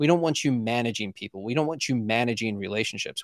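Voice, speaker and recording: Recorded very clean with a silent background and a dry, close sound with no echo, a man uses a normal speaking voice at a medium pitch and a fairly quick pace. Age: 40s. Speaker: podcast host and coach, former chef and police officer. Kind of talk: interview, casual conversation.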